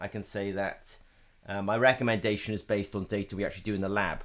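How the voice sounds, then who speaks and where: A man's voice with a fairly low pitch. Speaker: company representative hosting technical webinar. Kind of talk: live technical webinar Q&A. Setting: live online webinar. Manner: fast; hesitant, many fillers. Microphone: webcam.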